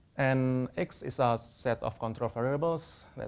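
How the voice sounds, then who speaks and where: Here a man talks at medium pitch with ordinary pitch variation. He has a non-native accent. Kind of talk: academic presentation.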